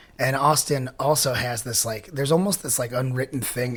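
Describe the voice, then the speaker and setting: Talking at a very fast pace, a man with a Pacific Northwest accent has a medium-pitched, somewhat breathy voice and ordinary pitch variation. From Washington State, US (Enumclaw area). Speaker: punk rock singer. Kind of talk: casual interview chat.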